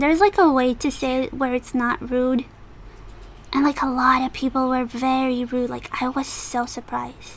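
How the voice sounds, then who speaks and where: Mumbling at a moderate pace, a woman with a high pitch talks over noticeable background noise. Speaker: cosplayer. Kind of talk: casual story time talk. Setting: noisy home recording. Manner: mumbly.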